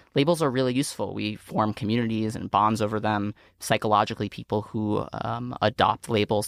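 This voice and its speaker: Speaking fairly quickly with hardly any pauses, the speaker has an unremarkable speaking voice, fairly even intonation and an American accent. The sound is dry and close with no echo, on a very clean recording with a silent background. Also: man. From New York City, Staten Island. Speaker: non-profit founder and president. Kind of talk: interview conversation.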